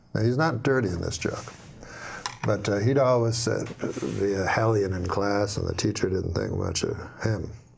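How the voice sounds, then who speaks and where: A man speaks at a medium pitch. Noticeable background noise is present. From Canada. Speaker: stand-up comedian. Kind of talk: joke telling on a talk show. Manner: slow, almost stuttering deadpan.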